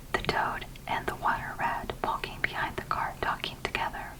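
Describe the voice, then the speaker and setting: Someone is whispering at a fairly slow pace. Noticeable background noise is audible. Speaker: ASMR content creator. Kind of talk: ASMR whispered audiobook reading. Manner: whispered, soft-spoken.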